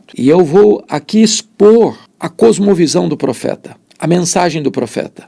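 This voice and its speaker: A man's high-pitched voice, dark and mellow in tone, with lively intonation. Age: 60s. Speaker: preacher. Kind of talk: sermon.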